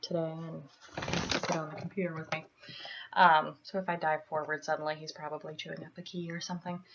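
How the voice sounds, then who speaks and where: Over noticeable background noise, a woman talks at a fairly quick pace in a fairly low, monotone, flat voice. Her loudness swings widely. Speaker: student. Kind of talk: class video assignment answering questions. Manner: hesitant, many fillers.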